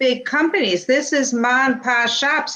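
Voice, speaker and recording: Listeners hear a woman with a plain, everyday voice. She uses ordinary pitch variation. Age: 60s. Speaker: interviewer, realtor. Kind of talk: casual interview.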